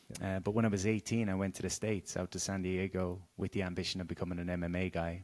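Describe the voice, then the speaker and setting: In an Irish accent, a man with a very deep, low pitch talks very fast with hardly any pauses and flat, monotone intonation, on a very clean recording with a silent background. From Ireland, Galway. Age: 30s. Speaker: wellness coach and author. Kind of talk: casual interview chat.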